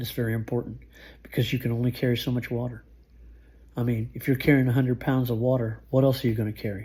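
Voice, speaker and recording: Medium-pitched, somewhat breathy male voice with a flat, monotone delivery. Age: 60s. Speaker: survival skills youtuber, truck driver. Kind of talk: informal tutorial monologue. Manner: casual, halting with restarts.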